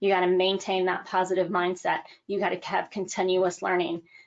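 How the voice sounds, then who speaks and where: A woman's energetic, medium-pitched voice at a moderate pace. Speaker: motivational speaker. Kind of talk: motivational talk.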